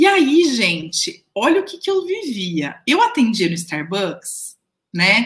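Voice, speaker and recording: A woman talks at a very slow pace and a high pitch. Her pitch swings very widely, and her loudness swings a lot. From Brazil, Jundiaí (São Paulo interior). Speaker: career mentor and podcast host. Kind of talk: casual storytelling monologue. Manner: chatty, frequent fillers.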